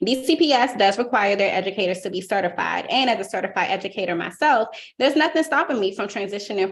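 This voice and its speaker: In a Washington DC accent, a woman at medium pitch rattles along at a very fast pace with hardly any pauses and lively intonation. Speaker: teacher. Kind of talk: public testimony. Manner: formal.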